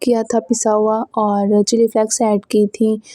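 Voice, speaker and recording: A woman's fairly high voice has a dark, mellow tone and monotone, flat intonation, recorded dry and close with no echo. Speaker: lifestyle and cooking vlogger. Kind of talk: vlog voice-over narration. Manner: hesitant, many fillers.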